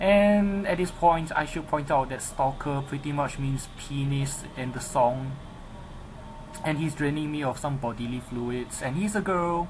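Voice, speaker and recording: A man's fairly high voice with a non-native accent and ordinary pitch variation, plus audible room echo. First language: not English. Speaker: gaming commentator. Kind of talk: live game commentary. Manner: halting; animated.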